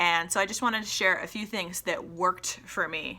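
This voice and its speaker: A woman is talking with a bright, sharp tone. Her pitch is medium. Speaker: podcast host. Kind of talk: casual solo podcast talk. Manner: halting, with many ums and pauses.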